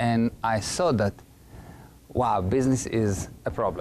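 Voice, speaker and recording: A man speaks with an Israeli accent. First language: Hebrew. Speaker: entrepreneur, business consultant. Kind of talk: talk show interview.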